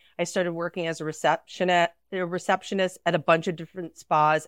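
A woman speaks fairly quickly in a monotone, flat intonation. The sound is dry and close with no echo against a quiet background. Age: 40s. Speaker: esthetician. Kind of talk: casual chat.

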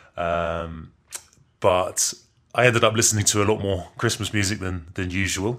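A man with an English accent, fairly low-pitched, at a moderate pace and with fairly even intonation. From England. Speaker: musician. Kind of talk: pre-recorded interview answers. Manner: halting.

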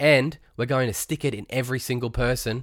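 Over a silent background on a very clean recording, a man speaks at a moderate pace with a medium pitch. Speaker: podcast host. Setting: home or studio podcast recording, solo monologue. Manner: fired-up, indignant and sarcastic, stumbling over words as he rants; animated, mixing laughter with scorn.

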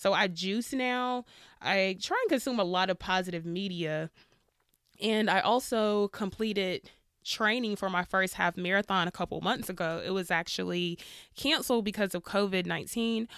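An unremarkable speaking voice moves at a moderate pace with ordinary pitch variation on a very clean recording with a silent background. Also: woman, medium pitch for a woman. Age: 30s. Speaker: podcast host and PhD student. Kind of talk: solo podcast monologue. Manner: casual, conversational with laughter.

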